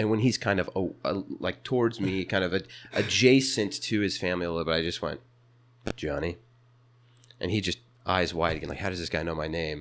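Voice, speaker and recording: A man speaks with a very deep, low pitch and ordinary pitch variation. His delivery has long, frequent pauses. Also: fairly quick pace. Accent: American. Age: 20s. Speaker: small business owner. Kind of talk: casual chat. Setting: company bathroom.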